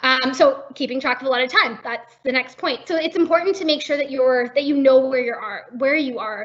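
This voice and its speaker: A woman talks in a high pitch at a fairly quick pace. She leaves hardly any pauses. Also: ordinary pitch variation. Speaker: workshop presenter on job competitions. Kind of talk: webinar presentation. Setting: online webinar. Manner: fast.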